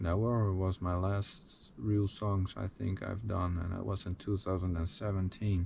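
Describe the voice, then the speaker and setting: A man speaks with a Dutch accent in a very deep, low voice. He sounds somewhat breathy, with monotone, flat intonation. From Netherlands. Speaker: musician. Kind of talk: personal life story. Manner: halting.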